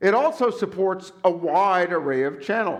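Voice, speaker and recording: The intonation is lively, and audible room echo surrounds the voice. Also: man. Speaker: conference session moderator. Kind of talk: conference panel presentation.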